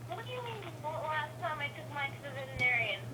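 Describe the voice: A woman speaks at a fast pace and high pitch. Her pitch swings are big.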